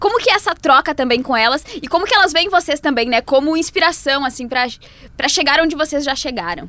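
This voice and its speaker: Raised and projected, the voice has a bright, sharp tone and lively intonation at a very fast pace. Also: woman, high pitch for a woman. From Brazil, Serra Gaúcha. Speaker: sports journalist, podcast co-host. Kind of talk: casual interview chat. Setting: studio.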